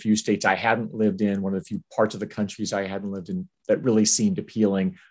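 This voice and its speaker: A man with an American accent and an unremarkable speaking voice, fairly low in pitch with ordinary pitch variation, over a quiet background. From US Army bases abroad, high school near Tokyo. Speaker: university fundraising executive. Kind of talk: interview conversation.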